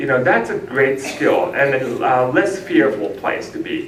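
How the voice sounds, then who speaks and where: At a moderate pace, a man with a fairly high pitch speaks with lively intonation, with audible room echo and noticeable background noise. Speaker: language teacher, keynote speaker. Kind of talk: keynote speech. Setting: conference stage with audience.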